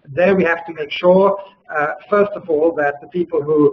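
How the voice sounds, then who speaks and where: This man has an unremarkable speaking voice, fairly high in pitch. He keeps a moderate pace. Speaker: auctioneer and art world figure. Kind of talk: webinar advice talk / interview answer. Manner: fluent, conversational, articulate, with filler pauses.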